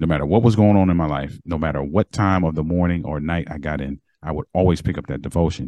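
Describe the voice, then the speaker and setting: Pitched very deep and low, a man with an American accent speaks at a very fast pace. There are hardly any pauses. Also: ordinary pitch variation. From Baltimore, Maryland, US. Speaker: author and marriage coach. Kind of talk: interview.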